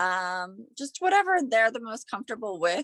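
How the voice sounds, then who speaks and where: A woman uses a normal speaking voice, pitched fairly high and paced moderately. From Pittsburgh, Pennsylvania. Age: 40s. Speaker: small business owner, professional organizer. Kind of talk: casual interview.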